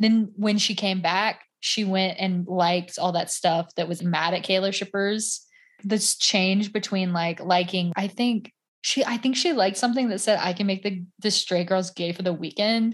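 A woman speaks with a somewhat breathy voice. Her intonation stays fairly even. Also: medium pitch for a woman, moderate pace, quiet background. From US South. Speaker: podcaster. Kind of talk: casual chat.

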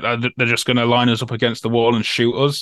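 Against a quiet background, a man of medium pitch speaks at a moderate pace with an East Midlands accent, the sound dry and close with no echo. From Newark-on-Trent, Nottinghamshire, England. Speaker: former soldier and prisoner of war. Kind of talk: interview testimony. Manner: hesitant, many fillers and repetitions.

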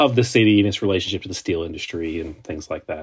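A somewhat breathy, fairly low-pitched man at a very fast pace with ordinary pitch variation, on a very clean recording with a silent background. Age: 20s. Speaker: journalist. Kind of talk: interview.

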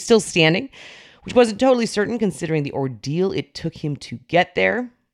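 A woman's fairly low voice with very wide pitch swings and a dry, close sound with no echo. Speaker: news podcast host. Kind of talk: news reading, scripted morning political briefing. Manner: brisk, steady, businesslike newsreader delivery.

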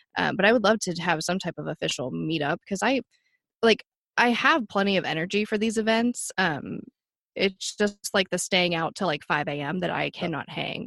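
In a plain, everyday voice, a woman speaks at a medium pitch and a moderate pace with lively intonation. The sound is dry and close with no echo, over a quiet background. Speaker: advocate for missing sister. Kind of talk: casual interview.

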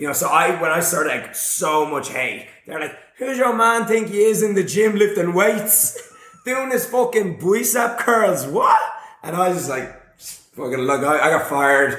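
An animated man in an Irish accent, high-pitched and fairly slow, with very wide pitch swings, audible room echo and noticeable background noise. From Ireland. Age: 30s. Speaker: fitness YouTuber. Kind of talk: casual chat. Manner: loud.

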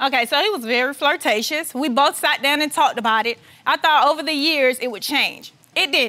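Raised and projected, a woman's high voice carries a bright, sharp tone at a fairly quick pace with ordinary pitch variation. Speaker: plaintiff in divorce case. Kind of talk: courtroom testimony. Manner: emotional.

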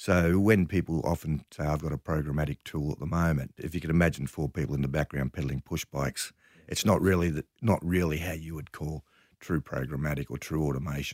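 A man with an Australian accent speaks at a fairly quick pace, his pitch very deep and low, with vocal fry and fairly even intonation. The sound is dry and close with no echo, on a very clean recording with a silent background. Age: 60s. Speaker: media company chief executive. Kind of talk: interview.

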